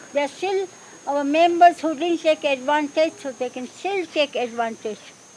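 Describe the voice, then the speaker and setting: Noticeable background noise sits under this clip. Over it, a woman talks with lively intonation. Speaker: support group co-founder. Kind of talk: speech at public event.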